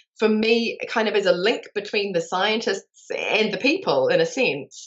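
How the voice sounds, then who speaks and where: A woman speaks with a New Zealand accent. Her intonation is lively and her pitch fairly high. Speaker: life extension advocate and connector. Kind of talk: interview. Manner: animated.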